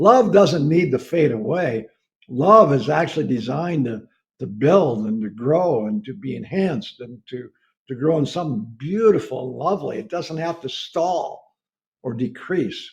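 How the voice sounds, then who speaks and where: Somewhat breathy and fairly high-pitched, a man speaks at a moderate pace. His pitch swings very widely, and his loudness shifts a great deal. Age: 70s. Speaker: preacher. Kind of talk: sermon.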